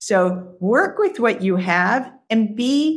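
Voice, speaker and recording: A woman speaks at a fairly high pitch with very wide pitch swings. Her voice is somewhat breathy. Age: 50s. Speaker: career coach for executives. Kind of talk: interview conversation.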